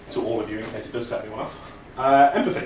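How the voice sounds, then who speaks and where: Amid noticeable background noise and audible room echo, a man with an East Midlands accent talks at a very fast pace. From England, Leicester. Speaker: conference speaker, data engineering leader. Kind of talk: conference talk. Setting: stage with audience. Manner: casual, animated.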